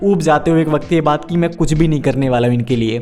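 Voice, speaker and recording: There is music in the background as a man with a fairly high pitch speaks. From India, Uttar Pradesh (Prayagraj). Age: 20s. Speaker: vlogger. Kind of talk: personal vlog.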